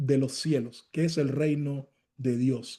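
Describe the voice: Here a man speaks with a dark, mellow tone.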